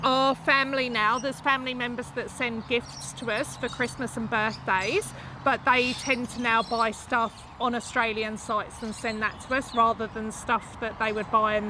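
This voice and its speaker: A woman speaks at a moderate pace with a fairly high pitch and fairly even intonation. The sound is dry with no echo, though background noise is noticeable. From UK. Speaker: YouTuber. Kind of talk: casual chat. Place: garden.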